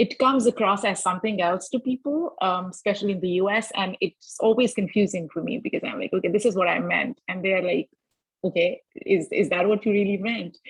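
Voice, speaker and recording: A somewhat breathy woman at a fairly quick pace, medium in pitch with ordinary pitch variation. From Pakistan. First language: Pakistani native language. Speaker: podcaster. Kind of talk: panel discussion.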